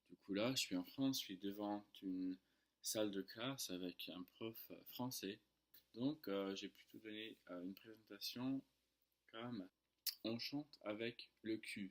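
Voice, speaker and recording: In an English accent, a man with a fairly low pitch and ordinary pitch variation talks at a very slow pace, his loudness swinging widely. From United States. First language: English (speaking French). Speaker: French tutor. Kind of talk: casual vlog storytelling. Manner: hesitant, many fillers.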